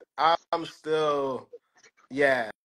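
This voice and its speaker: A man with a Philadelphia accent, fairly high in pitch, with a bright, sharp tone. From North Philadelphia. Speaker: high school plumbing teacher. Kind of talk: interview answer.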